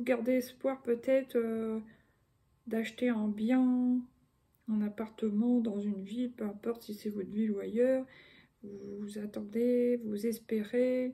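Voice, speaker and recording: Speaking very slowly with long, frequent pauses, a woman uses a fairly high pitch, a dark, mellow tone, a somewhat breathy sound and monotone, flat intonation. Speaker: tarot card reader. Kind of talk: tarot reading. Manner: casual, hesitant with fillers.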